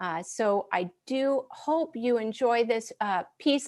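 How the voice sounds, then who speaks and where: A woman speaks with an upstate New York accent and ordinary pitch variation. The recording is very clean, with a silent background. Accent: upstate New York American. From US Northeast (upstate New York). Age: 40s. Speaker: military band clarinetist. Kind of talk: live stream concert introduction. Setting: at home, dining/living room.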